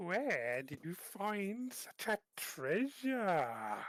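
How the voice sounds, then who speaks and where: A man's put-on character voice, croaky and high-pitched, with very wide pitch swings at a very slow pace. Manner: creepy, gloating.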